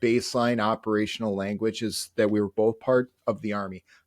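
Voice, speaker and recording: A man talks at a fairly quick pace in a strong Upper Midwest accent. The sound is dry and close with no echo, and the background is quiet. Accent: thick upper Midwestern. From North Dakota, upper Midwest US. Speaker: Army National Guard and Reserve soldier. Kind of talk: interview conversation.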